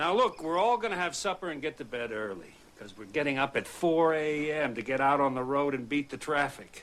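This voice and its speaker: Putting on a gruff character voice, a man talks fairly quickly and fairly high, with lively intonation and hardly any pauses. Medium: short film. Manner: gruff, exasperated.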